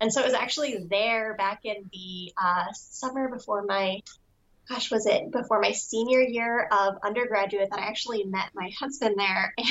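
A woman with an American accent talks in an unremarkable speaking voice pitched fairly high. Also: ordinary pitch variation, moderate pace. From US Southwest, Albuquerque, New Mexico. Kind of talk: casual interview chat.

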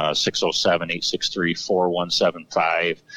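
A man talks with an American accent. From Central New York. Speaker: hardware store owner and equipment mechanic. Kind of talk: casual interview.

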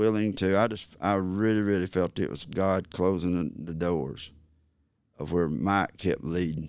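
The recording is very clean, with a silent background. A man with a very deep, low pitch and an Alabama accent speaks with ordinary pitch variation. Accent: Southern US (Alabama). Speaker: turkey call maker and hunter. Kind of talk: casual interview. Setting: at his call company facility.

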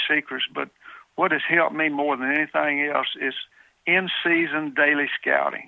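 Ordinary pitch variation and a moderate pace from a man with a fairly high pitch. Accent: Southern US. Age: 70s. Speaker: deer hunter. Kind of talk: interview.

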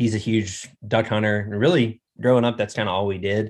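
A man with a Southern US accent speaks at a fairly quick pace. His voice sits at a fairly low pitch. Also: quiet background. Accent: US South. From central Arkansas. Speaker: hunter and duck hunting guide. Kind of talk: casual interview chat.

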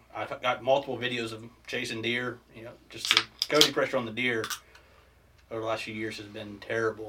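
A man at a medium pitch and fairly quick pace, monotone and flat, with big swings in loudness, long, frequent pauses and noticeable background noise. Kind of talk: casual chat.

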